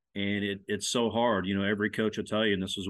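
A man's fairly low voice with a Midwestern American accent. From Nebraska, Lincoln. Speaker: former college sports media relations official, co-host. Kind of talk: casual sports podcast chat.

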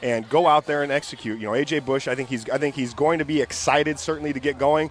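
Over noticeable background noise, a man speaks at a very fast pace with a fairly high pitch and ordinary pitch variation. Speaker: sports analyst. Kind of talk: radio sports talk.

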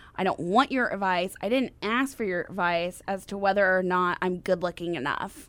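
A woman with a plain, everyday voice talks at a medium pitch with ordinary pitch variation and hardly any pauses. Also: moderate pace. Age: 30s. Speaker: podcast co-host. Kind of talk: casual chat.

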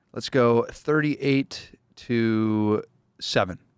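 On a very clean recording with a silent background, a man with a Minnesota accent sounds dry and close, with no echo. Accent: Minnesotan American. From US Midwest. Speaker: football beat reporter. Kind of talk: casual chat.

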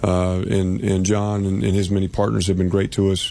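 A man's very deep, low voice in an American accent, fairly quick and fairly even in intonation, with noticeable background noise. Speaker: university athletic director. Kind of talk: casual radio interview. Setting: radio studio with guests, live event.

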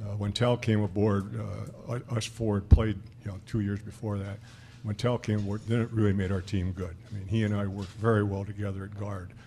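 A man talks at a fairly quick pace with a fairly low pitch and a dark, mellow tone. His voice is somewhat breathy, and his intonation is monotone and flat. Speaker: retired former college basketball player. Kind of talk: casual chat. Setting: live broadcast from a lounge with audience.

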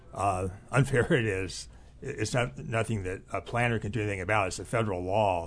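Speaking fairly quickly, a man uses a fairly low, somewhat breathy voice with ordinary pitch variation. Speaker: economist. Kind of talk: radio discussion. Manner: halting, many filler sounds.

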